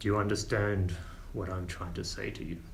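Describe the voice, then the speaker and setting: A man puts on a gruff character voice, fairly low in pitch and at a fairly quick pace. Clear background noise is present. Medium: actual play. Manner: deliberate, gruff.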